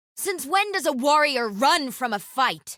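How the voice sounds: A woman's put-on character voice, high-pitched, bright and sharp, with big pitch swings and a fairly slow pace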